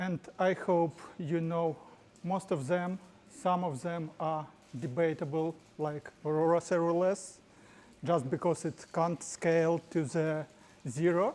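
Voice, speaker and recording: With a strong Ukrainian accent, a woman speaks at a very slow pace in a fairly low pitch, her tone dark and mellow. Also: fairly even intonation. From Ukraine. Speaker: tech company executive presenting at meetup. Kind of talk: tech talk presentation. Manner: halting.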